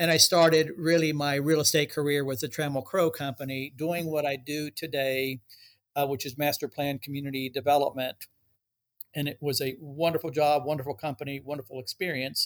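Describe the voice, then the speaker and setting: An unremarkable speaking voice belongs to a man with an American accent and a fairly high pitch. He talks at a fairly quick pace with fairly even intonation. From Texas, Dallas-Fort Worth. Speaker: real estate developer executive. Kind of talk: interview.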